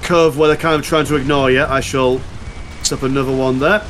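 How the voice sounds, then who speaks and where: With a Yorkshire accent, a man talks at a fairly quick pace with ordinary pitch variation over noticeable background noise. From Yorkshire, northern England. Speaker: YouTuber, gaming guest. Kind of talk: casual chat while gaming.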